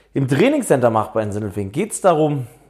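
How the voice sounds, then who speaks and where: The man's voice has a dark, mellow tone. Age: 30s. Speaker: fitness coach and podcast host. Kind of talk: podcast intro monologue. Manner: casual, with fillers.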